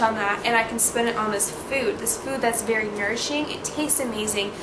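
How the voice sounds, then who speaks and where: A woman's fairly high voice carries audible room echo amid noticeable background noise. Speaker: vlogger. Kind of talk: tutorial. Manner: fast; casual, filler words.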